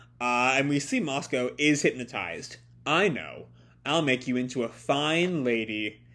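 The natural reading voice moves through ordinary pitch variation.

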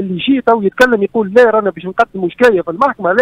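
Against a quiet background, a man with high pitch and ordinary pitch variation speaks in a dry sound with no echo. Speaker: remote guest. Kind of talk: interview answer. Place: home room. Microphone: video call.

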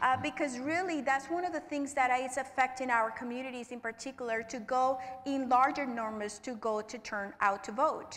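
Hardly pausing, a woman with a Spanish accent talks at a high pitch. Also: ordinary pitch variation, moderate pace. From Puerto Rico. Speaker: nonprofit regional director; panelist. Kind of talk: panel discussion. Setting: stage with live audience.

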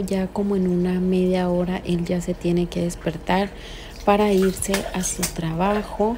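The delivery is fairly slow and monotone, with flat intonation. Light background noise sits underneath. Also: woman. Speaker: beauty vlogger. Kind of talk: casual vlog chat. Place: bathroom. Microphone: phone near.

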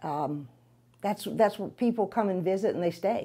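A dark, mellow tone in a New Orleans accent, with lively intonation over a quiet background. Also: woman. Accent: New Orleans Southern. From New Orleans, uptown. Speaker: realtor; interviewee. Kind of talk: interview. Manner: halting, many fillers. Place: office. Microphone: lapel.

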